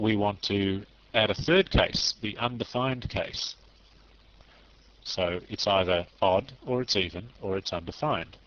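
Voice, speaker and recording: A man's plain, everyday voice, fairly low in pitch, at a fairly slow pace with ordinary pitch variation. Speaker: programming tutor. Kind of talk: tutorial.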